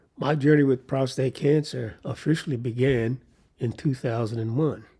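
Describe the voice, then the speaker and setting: A man speaks in a somewhat breathy voice. His intonation stays fairly even. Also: medium pitch for a man, moderate pace. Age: 80s+. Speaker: cancer survivor sharing his story. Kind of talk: personal testimony monologue. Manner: measured, with hesitations.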